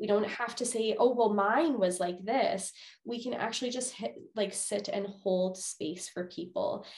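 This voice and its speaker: A woman with a Canadian accent speaks at a fairly slow pace with an ordinary speaking voice. Her pitch is fairly high, with ordinary pitch variation. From Manitoba, Canada. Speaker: psychologist. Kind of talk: interview.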